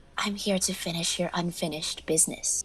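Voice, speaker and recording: Whispering in a hoarse, put-on character voice that sounds female, the speaker goes at a fairly quick pace over clear background noise. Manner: whispering as if down a long tube.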